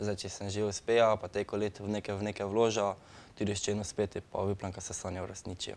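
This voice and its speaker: Flat, monotone delivery from a man with a fairly low voice. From Slovenia. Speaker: breakdancer; guest. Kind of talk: studio interview. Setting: studio. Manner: halting. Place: studio. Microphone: lapel.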